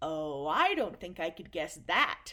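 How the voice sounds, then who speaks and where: A woman uses a put-on character voice at a fairly low pitch. She speaks at a fairly slow pace. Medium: read story. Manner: gentle, warm.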